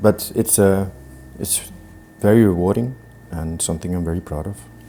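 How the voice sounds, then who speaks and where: Spoken at a moderate pace with an Icelandic accent, the voice has fairly even intonation but big swings in loudness. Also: man, very deep, low pitch for a man. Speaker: chef. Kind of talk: cooking tutorial. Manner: hesitant, many fillers.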